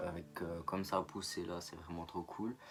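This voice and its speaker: A man speaks in a very deep, low pitch. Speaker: YouTuber. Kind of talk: vlog monologue. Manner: halting, with frequent fillers.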